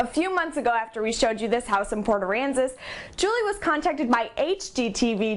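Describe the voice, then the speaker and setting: Lively intonation and a moderate pace come through noticeable background noise. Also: woman. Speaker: TV news anchor and reporter. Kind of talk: TV news read.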